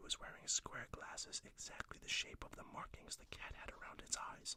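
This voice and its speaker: Whispering at a fairly quick pace. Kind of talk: read story. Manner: whispered.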